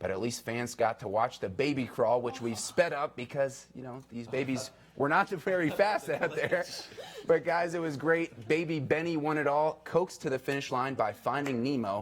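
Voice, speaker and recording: In an American accent, a man speaks at a moderate pace with a fairly high pitch and ordinary pitch variation. Noticeable background noise is present. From New York suburbs. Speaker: TV news reporter and anchor. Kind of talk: live TV news report.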